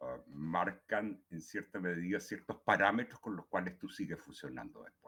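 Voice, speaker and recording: A man talks at a fairly slow pace. He has a Chilean accent. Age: 70s. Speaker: poet. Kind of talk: talk at a writing workshop. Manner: halting, many fillers and repetitions.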